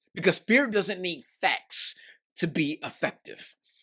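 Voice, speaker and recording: In a dry, close sound with no echo and a silent background on a very clean recording, a man speaks in an animated tone. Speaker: pastor. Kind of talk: sermon. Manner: halting.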